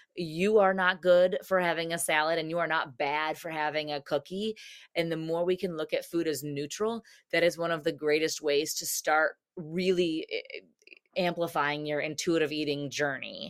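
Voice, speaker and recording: Her voice is an unremarkable speaking voice, fairly low for a woman. She keeps a moderate pace with fairly even intonation. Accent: American. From United States. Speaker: dietitian and running coach. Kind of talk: interview.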